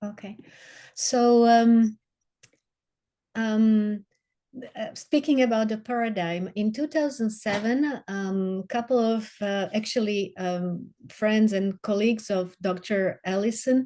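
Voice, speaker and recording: In a Slovak accent, a woman speaks at a very slow pace with a fairly high pitch, a dark, mellow tone and ordinary pitch variation over a quiet background. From Slovakia. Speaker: water advocate. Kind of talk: webinar presentation. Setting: video call. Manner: halting, many fillers.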